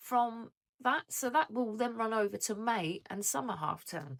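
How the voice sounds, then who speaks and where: Using an English accent, a woman with fairly high pitch speaks at a moderate pace, her pitch swinging very widely. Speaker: budgeting vlogger. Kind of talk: casual vlog chat. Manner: hesitant, many fillers.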